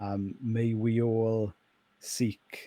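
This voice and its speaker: A man at medium pitch, dark and mellow in tone, with a Welsh accent, in a very clean recording over a silent background. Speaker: pastor. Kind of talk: casual interview chat.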